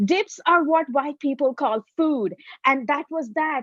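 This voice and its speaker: Recorded dry and close with no echo, a woman with a Tamil accent speaks high-pitched at a fairly slow pace, her pitch varying in an ordinary way. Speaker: comedian. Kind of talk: stand-up.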